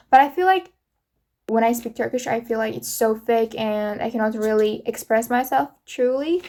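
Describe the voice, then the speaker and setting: In an Uzbek accent, a woman speaks at a moderate pace with a fairly high pitch, a dark, mellow tone and lively intonation, in a very clean recording with a silent background. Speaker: vlogger. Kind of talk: casual solo podcast monologue. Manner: halting, many fillers.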